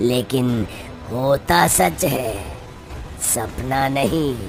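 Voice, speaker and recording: This is a cartoonish character voice pitched low-to-middle. Background noise is clearly audible. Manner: paternal, ominous.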